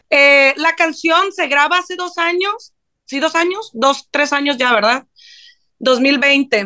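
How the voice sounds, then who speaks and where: Against a quiet background, a woman speaks at a very slow pace in a raised, projected voice with a high pitch, a bright, sharp tone and lively intonation. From Mexico, Sinaloa. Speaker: songwriter. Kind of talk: interview. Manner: casual, slangy.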